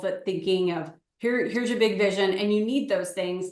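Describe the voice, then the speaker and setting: A woman with an unremarkable speaking voice, medium pitch and fairly even intonation. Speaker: real estate agent and coach. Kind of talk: webinar sales pitch. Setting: live webinar.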